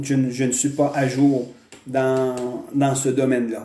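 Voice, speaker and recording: A man speaks at a medium pitch in a flat, monotone delivery. His pace is very slow. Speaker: pastor. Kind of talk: sermon.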